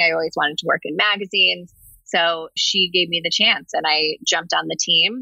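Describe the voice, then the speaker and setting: In an American accent, a woman talks at a moderate pace with a fairly low pitch and ordinary pitch variation. She has a plain, everyday voice. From New Jersey. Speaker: marketing lead. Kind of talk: interview.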